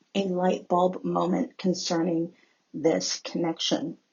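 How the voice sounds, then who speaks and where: A soft-spoken woman at a fairly low pitch, with vocal fry and a very slow pace. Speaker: tarot reader. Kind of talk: tarot reading voiceover. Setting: voiceover over photos of cards.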